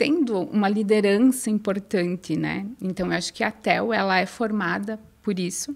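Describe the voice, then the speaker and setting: A woman speaks with a southern Brazilian accent. Her pace is moderate, and her pitch varies in an ordinary way. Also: medium pitch for a woman. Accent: gaúcho accent, noticeable. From southern Brazil, inland Rio Grande do Sul. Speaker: innovation researcher and former professor. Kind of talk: podcast interview.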